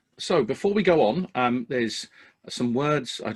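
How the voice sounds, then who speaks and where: The voice carries an English accent. Its pitch swings very widely. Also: man. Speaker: podcast host for electricians. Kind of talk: casual podcast chat.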